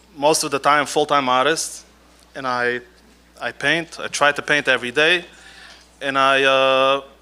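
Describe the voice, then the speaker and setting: A man with a fairly high pitch and a non-native accent, monotone and flat, at a fairly slow pace. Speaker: artist and scribe. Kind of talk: stage talk. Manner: halting.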